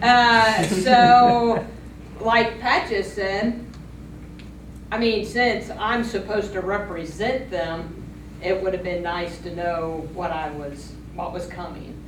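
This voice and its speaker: Over noticeable background noise and audible room echo, the speech moves at a very slow pace with big swings in loudness and ordinary pitch variation. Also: woman, medium pitch for a woman. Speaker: township trustee. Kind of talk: public meeting statement. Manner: halting.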